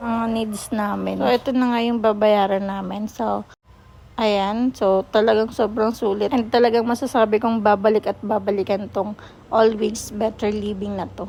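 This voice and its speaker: A woman's voice sits fairly high. It carries a dark, mellow tone. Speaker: food vlogger. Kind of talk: vlog voice-over. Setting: restaurant. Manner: fast; animated.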